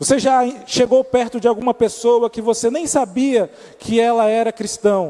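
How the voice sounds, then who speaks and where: In an Amazonas accent, a man speaks at an extremely high pitch with a dark, mellow tone, ordinary pitch variation, and a moderate pace. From Amazonas, Brazil. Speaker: preacher. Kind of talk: sermon.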